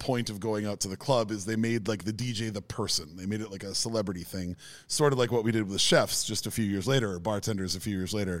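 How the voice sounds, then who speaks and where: A man with a plain, everyday voice and an American accent, at a medium pitch with ordinary pitch variation, in a very clean recording with a silent background. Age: 40s. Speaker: podcast co-host, former DJ. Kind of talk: casual chat. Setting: studio.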